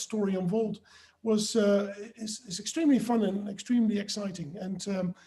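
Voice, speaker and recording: With a Dutch accent, a man speaks in a high pitch. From Netherlands. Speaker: author. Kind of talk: webinar discussion.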